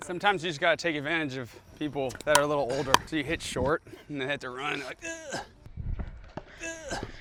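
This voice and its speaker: Noticeable background noise sits behind a man speaking at a very fast pace with a fairly high pitch. His loudness swings widely, and he takes long, frequent pauses. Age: young. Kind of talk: casual chat. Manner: animated.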